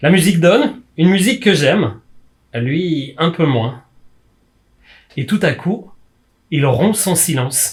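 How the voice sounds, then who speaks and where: This man has a high pitch with very wide pitch swings. He talks at a very slow pace with long, frequent pauses. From France, Brittany. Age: 40s. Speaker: community educator and youth worker. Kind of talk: performed lecture on stage. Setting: live stage performance before audience.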